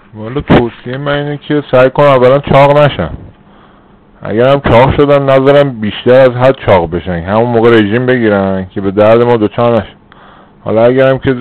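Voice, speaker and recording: Speech moves at a moderate rate with ordinary pitch variation while noticeable background noise persists. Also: man, medium pitch for a man. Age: 30s. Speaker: former bariatric surgery patient. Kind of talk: interview.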